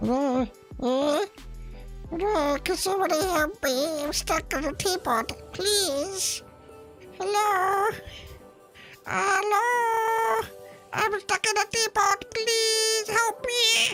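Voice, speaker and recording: A put-on character voice speaks in an extremely high pitch at a very slow pace. Clear music plays in the background. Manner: pleading.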